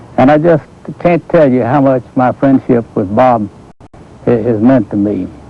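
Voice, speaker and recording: This man has a Southern US accent and a medium pitch. He speaks at a moderate pace against noticeable background noise. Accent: Southern US (Georgia). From US South, Atlanta. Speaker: amateur golfer. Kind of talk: interview testimony.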